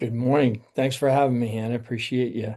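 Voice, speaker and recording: A man speaks with an American accent in a dark, mellow tone. His medium pitch follows fairly even intonation. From Rhode Island, US. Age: 60s. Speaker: retired army general. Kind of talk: interview conversation. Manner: halting, many fillers.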